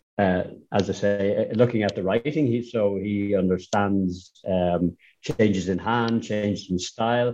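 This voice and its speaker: In an Irish accent, a man talks at a fairly low pitch and a fairly slow pace. His tone is dark and mellow, and his intonation fairly even. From Ireland. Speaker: manuscript conservator. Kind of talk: interview. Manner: halting with repeated words.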